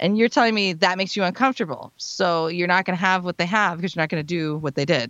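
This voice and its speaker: At a very fast pace, a woman speaks in a fairly low voice with ordinary pitch variation. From US, military family, moved around. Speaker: singer and vocal coach. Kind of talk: casual chat.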